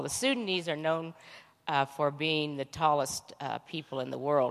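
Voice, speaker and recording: On a very clean recording with a silent background, the talking goes at a moderate pace. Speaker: mission trip volunteer. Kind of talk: testimony. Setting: church.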